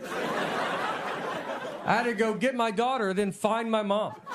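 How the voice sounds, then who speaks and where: With noticeable background noise, a man talks in an extremely high pitch, his intonation fairly even and his tone deadpan. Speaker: stand-up comedian. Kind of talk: stand-up comedy set. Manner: deadpan, conversational.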